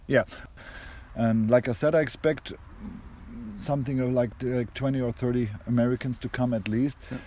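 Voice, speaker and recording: A man with a German accent speaks at medium pitch in a dark, mellow tone. His pace is moderate, his intonation fairly even, and he takes long, frequent pauses. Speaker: conference co-organizer.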